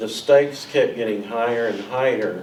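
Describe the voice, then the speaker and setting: A man speaks at a moderate pace, his pitch medium. Noticeable background noise and audible room echo fill the recording. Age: 60s. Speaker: town mayor and fire chief. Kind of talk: heated debate at town board meeting. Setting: town council meeting room with audience.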